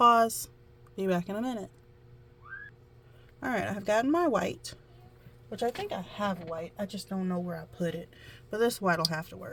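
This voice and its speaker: A woman with a Southern US accent at medium pitch and moderate pace, with ordinary pitch variation, big swings in loudness, long, frequent pauses, and music in the background. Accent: country southern. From US South. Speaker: amateur painter, tutorial vlogger. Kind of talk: casual painting tutorial. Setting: at home, child nearby.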